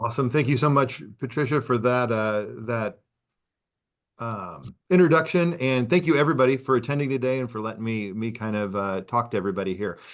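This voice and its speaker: Speaking at a fairly quick pace with an American accent, a man uses lively intonation at a medium pitch. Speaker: assistive technology presenter. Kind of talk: webinar presentation. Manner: fast.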